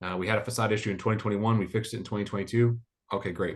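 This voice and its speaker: Speaking very fast with an American accent, a man with a fairly low, somewhat breathy voice comes through over a quiet background. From US Midwest. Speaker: mortgage condo standards expert. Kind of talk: webinar presentation.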